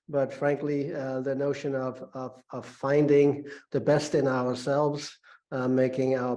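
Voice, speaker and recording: With a non-native accent, a man speaks at a moderate pace in a medium pitch and a dark, mellow tone, his intonation monotone and flat, with audible room echo around him. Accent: foreign. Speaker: business school professor. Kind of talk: lecture. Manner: halting, many fillers.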